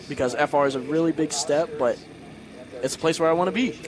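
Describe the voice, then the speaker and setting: A man talks very fast, his pitch varying in an ordinary way, amid noticeable background noise. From Louisiana. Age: 20s. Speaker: racing driver. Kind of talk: interview.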